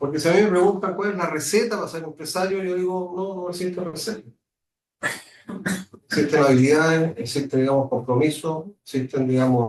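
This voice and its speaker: Fairly high in pitch, a man speaks at a fairly quick pace with ordinary pitch variation. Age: 60s. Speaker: business executive. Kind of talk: guest lecture. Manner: hesitant, many fillers.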